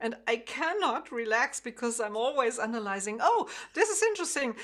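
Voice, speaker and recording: A woman with a high voice speaks fairly quickly, her intonation lively. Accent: German. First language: German. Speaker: harp teacher. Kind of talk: interview. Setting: video call. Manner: halting.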